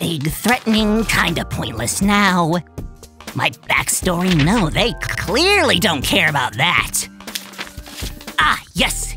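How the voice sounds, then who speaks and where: With clear music behind him, a man in a put-on character voice speaks at a high pitch with very wide pitch swings, very even loudness, and long, frequent pauses. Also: fairly slow pace. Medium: audio drama. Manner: exasperated, ranting.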